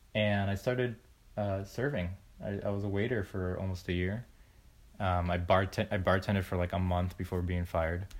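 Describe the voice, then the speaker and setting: Fairly even intonation and a moderate pace mark this speaker with an American accent. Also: man, very deep, low pitch for a man. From US, small-town Florida. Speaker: film editor. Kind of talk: casual chat. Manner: halting.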